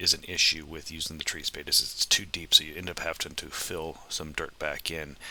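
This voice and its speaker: The voice is bright and sharp in tone and moves at a fairly quick pace. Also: man. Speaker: homesteader vlogger. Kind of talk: voiceover narration. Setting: outdoors in orchard with tractor. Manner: hesitant, many fillers and restarts.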